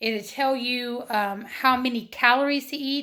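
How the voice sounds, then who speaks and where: Squeaky and high-pitched, a woman speaks at a very slow pace in a bright, sharp tone. The recording is very clean, with a silent background. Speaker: weight loss vlogger. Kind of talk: casual vlog monologue. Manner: hesitant, many fillers.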